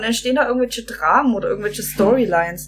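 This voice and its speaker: A woman talks very fast with lively intonation. Noticeable background noise runs underneath. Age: 20s. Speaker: podcast guest. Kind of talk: casual chat.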